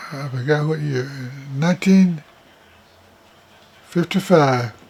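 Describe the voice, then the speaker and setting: A man's fairly high pitch at a very slow pace, with ordinary pitch variation and noticeable background noise. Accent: East Texas. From East Texas. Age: 80s+. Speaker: retired landlord. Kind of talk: interview testimony.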